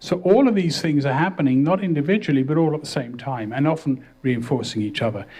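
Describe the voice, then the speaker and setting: Here a man talks in a fairly high pitch with ordinary pitch variation. His voice is somewhat breathy. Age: 60s. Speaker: professor. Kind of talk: lecture.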